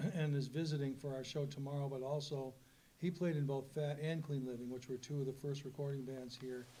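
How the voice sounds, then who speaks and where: A man speaks at a fairly high pitch and a fairly quick pace, his voice somewhat breathy. His intonation is monotone and flat, with audible room echo. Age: 70s. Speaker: rock musician, panelist. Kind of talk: panel discussion.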